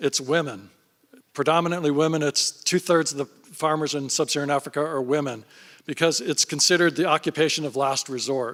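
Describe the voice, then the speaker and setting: In a very clean recording with a silent background and a dry, close sound with no echo, a normal speaking voice moves at a fairly quick pace with ordinary pitch variation. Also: man. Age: 60s. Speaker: fund founder and investor. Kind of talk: panel interview on stage.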